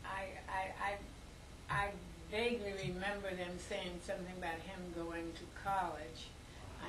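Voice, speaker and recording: A woman speaks fairly slowly in a monotone, flat voice. Noticeable noise sits in the background. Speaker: interviewee. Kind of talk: interview answer. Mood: reflective, reminiscing. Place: home room. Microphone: camera far.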